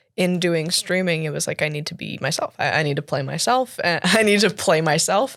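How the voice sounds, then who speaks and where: A woman speaks with a Canadian accent at a fairly quick pace. Her intonation is lively. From Canada. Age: 20s. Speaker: cosplayer and actor. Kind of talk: interview conversation. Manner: hesitant, many fillers.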